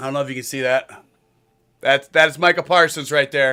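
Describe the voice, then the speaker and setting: Loud with a bright, sharp tone, the voice keeps fairly even intonation on a very clean recording with a silent background. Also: man. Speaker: sports streamer. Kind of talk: live watch-along commentary.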